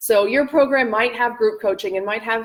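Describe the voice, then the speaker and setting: A plain, everyday voice from a woman with a Canadian accent, at a moderate pace with ordinary pitch variation. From Canada. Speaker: business and life coach. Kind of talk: live-stream masterclass. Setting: live video stream.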